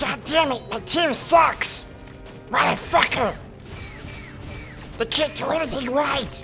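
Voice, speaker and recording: A high-pitched, put-on character voice speaks over clear music in the background. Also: fairly slow pace. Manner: angry, ranting.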